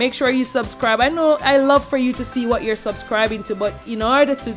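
Clear music sits in the background as a woman talks at a moderate pace with ordinary pitch variation. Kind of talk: cooking tutorial chat. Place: kitchen. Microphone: camera far.

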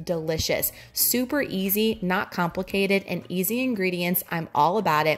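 Her voice is a woman's, fairly low in pitch. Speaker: vlogger. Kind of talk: casual cooking tutorial narration. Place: kitchen.

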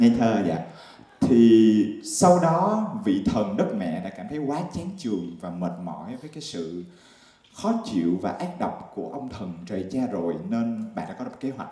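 Amid audible room echo, a man speaks at a fairly slow pace with very wide pitch swings and big swings in loudness. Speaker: stand-up comedian. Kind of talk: stand-up comedy monologue. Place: stage. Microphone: handheld.

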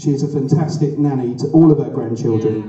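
With a strong room echo, a man speaks at a fairly quick pace in a dark, mellow tone. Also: medium pitch for a man, ordinary pitch variation.

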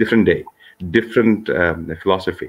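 Speaking at a very fast pace, a man fills the clip. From Kashmir, Srinagar; Kashmir. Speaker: author and engineer; guest. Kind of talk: interview. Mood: earnest, reflective. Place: home room. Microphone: video call.

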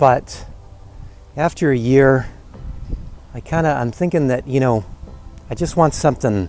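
Faint music plays in the background of a dry recording with no echo. The speech moves at a fairly slow pace. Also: man. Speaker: van dweller vlogger. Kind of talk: casual vlog chat. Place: open country. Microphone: earbuds.

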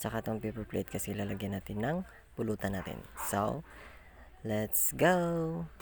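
A man with a fairly low voice speaks at a moderate pace, his pitch swinging very widely. He leaves long, frequent pauses. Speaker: vlogger. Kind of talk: vlog narration. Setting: outdoors. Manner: animated.

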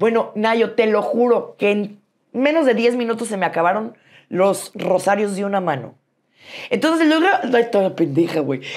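Against a quiet background, a woman speaks at a fairly slow pace in an animated tone, her fairly high voice making very wide pitch swings. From Mexico City. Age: 40s. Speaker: businesswoman; interview guest. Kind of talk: interview. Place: studio. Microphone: lapel.

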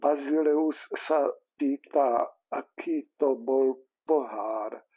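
A man's put-on character voice, shaky and fairly high-pitched with fairly even intonation, in a dry, close sound with no echo. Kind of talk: reading aloud from a book. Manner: fearful, nervous.

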